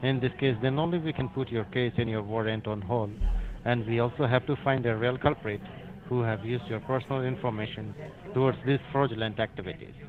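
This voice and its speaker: A man at medium pitch talks at a fairly quick pace with ordinary pitch variation in a plain, everyday voice. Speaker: phone scammer posing as a government agent. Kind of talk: scam phone call. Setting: phone line.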